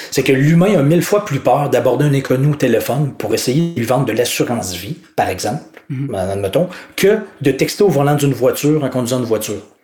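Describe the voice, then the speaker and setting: With a Quebec accent, a man speaks very fast in a fairly high voice with lively intonation. Noticeable background noise runs underneath. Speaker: author, coach and speaker. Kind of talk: interview. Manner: spontaneous.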